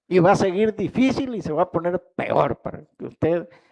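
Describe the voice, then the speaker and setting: Recorded dry and close with no echo, a man speaks with a Salvadoran accent. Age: 70s. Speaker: pastor. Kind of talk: sermon.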